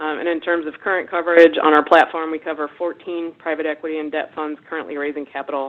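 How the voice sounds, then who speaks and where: A woman's very deep, low voice with a US East Coast accent, fairly quick and monotone, with flat intonation. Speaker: webinar presenter, investment research director. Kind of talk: webinar presentation. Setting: webinar. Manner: fast.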